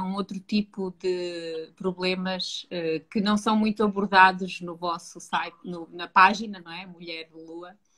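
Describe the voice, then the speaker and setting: A woman speaks at a fairly slow pace and medium pitch. She talks with a strong European Portuguese accent. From Portugal. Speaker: psychologist. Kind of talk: live-stream interview.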